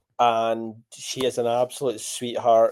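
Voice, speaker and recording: In a very clean recording with a silent background, a man speaks fairly slowly in a medium pitch with a dark, mellow tone and monotone, flat intonation. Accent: strong Scottish. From Scotland. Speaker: podcast host. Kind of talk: casual chat; interview. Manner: enunciating carefully.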